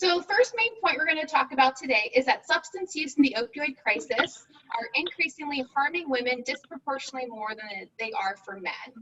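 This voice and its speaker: A woman uses a raised, projected voice at a fairly quick pace with hardly any pauses. Her high pitch makes very wide swings, and her loudness swings widely too. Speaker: physician and addiction researcher. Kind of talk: lecture. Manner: fast.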